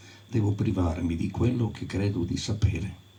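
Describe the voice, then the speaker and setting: A man speaks with a very deep, low pitch and fairly even intonation. Audible room echo surrounds the voice. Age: 70s. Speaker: folk tradition scholar. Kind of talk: talk to audience.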